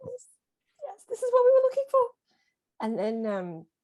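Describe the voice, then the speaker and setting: Fairly quick speech from a woman with a strong Australian accent. Her pitch variation is ordinary. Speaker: small press publisher and editor. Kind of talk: casual interview on video call. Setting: video call.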